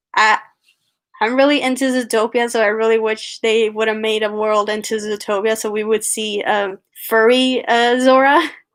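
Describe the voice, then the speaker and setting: Someone speaks with monotone, flat intonation and a slight Puerto Rican accent. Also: woman, fairly high pitch for a woman, moderate pace. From Puerto Rico. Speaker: animator and writer. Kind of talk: live-stream Q&A. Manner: halting, many fillers.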